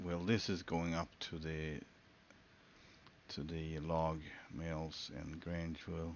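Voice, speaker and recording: This man's pitch is very deep and low. He speaks at a very slow pace. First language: Swedish. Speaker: gaming streamer. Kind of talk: live gameplay commentary. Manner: halting.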